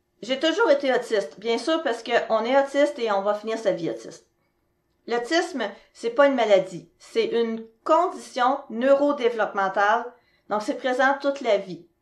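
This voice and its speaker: Lively intonation runs through this moderately paced speech. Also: woman, high pitch for a woman. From Quebec. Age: 40s. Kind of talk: presentation.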